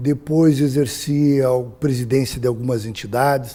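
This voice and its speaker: His voice is medium in pitch, somewhat breathy, with a dark, mellow tone. The man keeps his intonation fairly even. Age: 70s. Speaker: businessman, former state finance secretary. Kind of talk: interview. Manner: halting.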